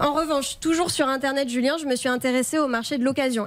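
A woman speaks at a fairly quick pace. Her voice sits high in pitch. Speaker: radio columnist. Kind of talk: radio show discussion.

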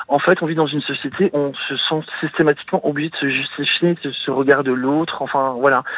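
A man speaks with a fairly high pitch and fairly even intonation. Noticeable background noise runs underneath. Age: 40s. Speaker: caller to a radio advice show. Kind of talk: personal confession on call-in radio. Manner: halting, many hesitations.

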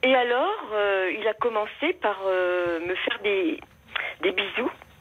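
Against noticeable background noise, a woman talks at a medium pitch and a very slow pace. Her loudness stays very even, with long, frequent pauses. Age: 70s. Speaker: caller. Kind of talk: personal testimony on the phone. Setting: phone call. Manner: halting.

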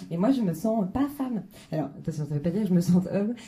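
A woman with fairly low pitch speaks in a dark, mellow, somewhat breathy tone. Her intonation is lively, and the room echo is audible. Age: 30s. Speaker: stand-up comedian. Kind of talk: stand-up. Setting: stage with audience.

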